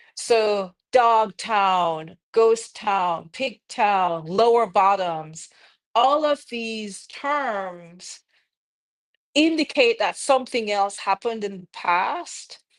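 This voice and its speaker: In a Jamaican accent, a woman speaks at a medium pitch with lively intonation. The recording is very clean and the background silent. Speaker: architect. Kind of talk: live-streamed conversation.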